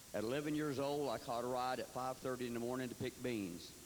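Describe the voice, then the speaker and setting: Here a man speaks with a Tennessee accent. His pace is moderate. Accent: Southern US, Tennessee. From Tennessee, Fentress County. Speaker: political candidate. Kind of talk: campaign speech. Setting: candidate forum.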